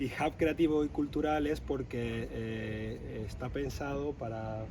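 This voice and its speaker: A man is speaking. Audible room echo carries his voice. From southern Spain (Andalusia). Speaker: architect, co-founder of a creative hub. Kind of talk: interview. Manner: hesitant fillers, repeats words.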